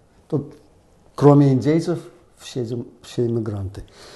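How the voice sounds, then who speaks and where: In a dark, mellow tone, a man speaks at a medium pitch and a fairly slow pace, with ordinary pitch variation. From Minsk, Belarus. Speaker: guest commentator. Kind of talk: discussion show.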